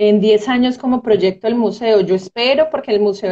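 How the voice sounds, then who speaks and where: The setting is quiet behind the speaker. Her pitch, a woman's, varies in an ordinary way. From Colombia, Medellín (Antioquia); Antioquia, Colombia. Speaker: marine biologist and museum curator; guest. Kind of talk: casual interview. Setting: video call. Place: home room.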